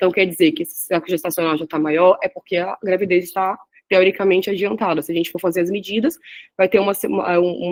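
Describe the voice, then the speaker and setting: A woman with a medium pitch talks at a very fast pace with ordinary pitch variation. The sound is dry and close, with no echo. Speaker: radiology resident presenting a class. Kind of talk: lecture.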